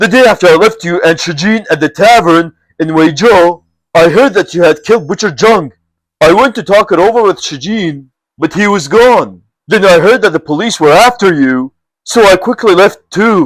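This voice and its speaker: A man uses a put-on character voice with a high pitch at a moderate pace, recorded very cleanly against a silent background. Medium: read story. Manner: hearty and friendly.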